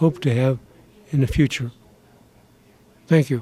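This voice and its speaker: A man with a fairly high pitch speaks in a dark, mellow tone. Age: 80s+. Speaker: war veteran. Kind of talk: testimony.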